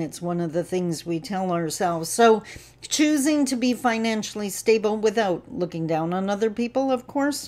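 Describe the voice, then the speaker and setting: With lively intonation, a woman speaks at a moderate pace with hardly any pauses. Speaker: speaker, trainer. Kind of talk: casual vlog talk on a social topic. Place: home room. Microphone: webcam.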